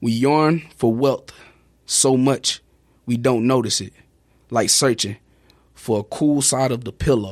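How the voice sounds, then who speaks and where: A man with an American accent speaks at a medium pitch and fairly slow pace. He leaves long, frequent pauses in a very clean recording with a silent background. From Houston, Texas. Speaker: poet and motivational speaker. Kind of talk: poetry reading. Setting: studio.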